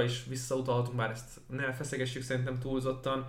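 A man is talking. His voice carries audible room echo. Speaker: NFL podcast co-host and sports commentator. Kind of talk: casual sports podcast chat. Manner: hesitant, many repeated fillers.

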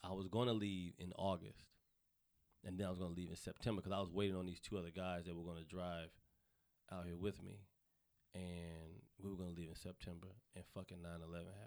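A man in a Southern US accent speaks very fast in a very deep, low voice with monotone, flat intonation and long, frequent pauses. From US South, North Carolina. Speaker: comedian. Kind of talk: casual chat. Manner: fast talker.

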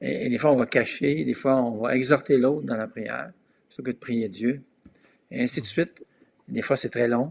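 A man speaks at a medium pitch with vocal fry. He leaves long, frequent pauses. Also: ordinary pitch variation, moderate pace. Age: 60s. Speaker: pastor. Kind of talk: casual chat.

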